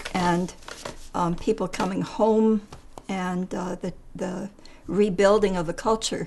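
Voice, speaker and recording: Noticeable background noise sits behind a woman with a medium pitch. She speaks at a fairly slow pace with fairly even intonation. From Netherlands, then Canada. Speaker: psychologist. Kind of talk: interview testimony. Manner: hesitant, many fillers.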